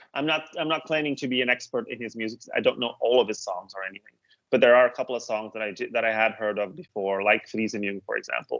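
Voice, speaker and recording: In a Dutch accent, a man at medium pitch speaks at a very fast pace with hardly any pauses and ordinary pitch variation. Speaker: music reviewer, podcast co-host. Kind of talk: casual chat. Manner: hesitant, many fillers.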